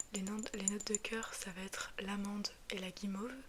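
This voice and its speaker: Soft-spoken and at a medium pitch, a woman talks at a fairly slow pace over noticeable background noise. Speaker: ASMR creator. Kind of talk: ASMR casual talk to camera.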